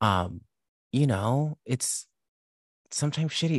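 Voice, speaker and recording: Against a quiet background, a man speaks at a fairly slow pace in a fairly high pitch, his animated tone somewhat breathy and his pitch swinging very widely, the sound dry and close with no echo. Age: 30s. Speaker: drag queen and comedian. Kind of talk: casual chat. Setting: video call.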